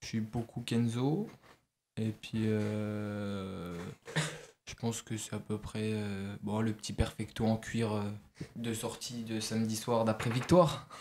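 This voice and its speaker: A man talks very slowly, his medium-pitched voice keeping fairly even intonation. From France, Franche-Comté (near Besançon). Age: 20s. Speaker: football goalkeeper and student. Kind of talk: radio interview. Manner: hesitant, many fillers.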